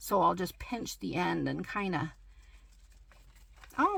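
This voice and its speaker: A woman's fairly slow speech amid noticeable background noise. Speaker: craft channel host. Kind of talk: tutorial. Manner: halting.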